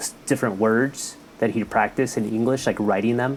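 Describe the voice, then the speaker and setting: A man with a Spanish accent at medium pitch, fairly quick pace, noticeable background noise behind him. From California, Mexican family from Jalisco. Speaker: health worker. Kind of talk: casual chat.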